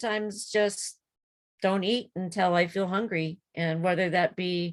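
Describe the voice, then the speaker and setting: This is a woman with an ordinary speaking voice, pitched fairly low. She keeps a moderate pace and fairly even intonation. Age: 60s. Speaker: support group member, emergency transport worker. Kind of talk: casual chat.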